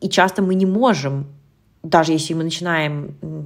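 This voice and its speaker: A woman with a very deep, low pitch and fairly even intonation. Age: 30s. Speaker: nutritionist and eating behavior coach, podcast host. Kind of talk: solo podcast monologue, advice talk.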